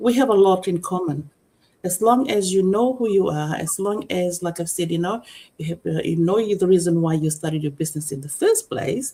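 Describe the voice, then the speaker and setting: Somewhat breathy and dark, mellow in tone, a woman's voice carries lively intonation. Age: 60s. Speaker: digital business owner, panelist. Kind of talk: live-streamed panel discussion. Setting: live stream broadcast. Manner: halting, many fillers.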